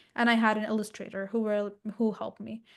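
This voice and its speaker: Talking at a very fast pace, a woman with a non-native accent has a fairly high voice against a quiet background. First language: not English. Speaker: author and purpose coach. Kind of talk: interview. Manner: halting.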